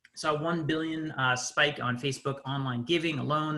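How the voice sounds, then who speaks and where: A man speaks at a fairly high pitch, his voice carrying audible room echo. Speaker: nonprofit digital agency CEO, conference presenter. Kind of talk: conference webinar presentation. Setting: video call. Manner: fast.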